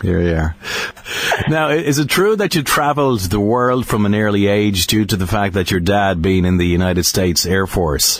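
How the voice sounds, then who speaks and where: In an Irish accent, the speaker talks at a moderate pace with lively intonation and very even loudness. Noticeable background noise is present. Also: man, fairly low pitch for a man. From Ireland. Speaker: interviewer. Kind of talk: interview. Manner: halting.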